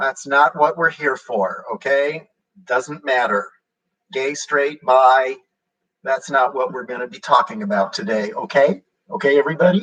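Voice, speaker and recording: Here is a man with an unremarkable speaking voice, fairly high in pitch, talking at a moderate pace. His intonation is lively and his loudness swings widely. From Southern California. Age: 60s. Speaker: bodybuilder livestreamer. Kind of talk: live stream chat with viewers. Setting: live video stream.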